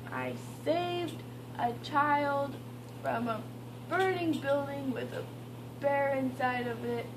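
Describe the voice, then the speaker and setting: A woman talks very slowly over noticeable background noise. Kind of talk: silly, drowsy casual chat. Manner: sleepy drugged rambling. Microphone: phone near.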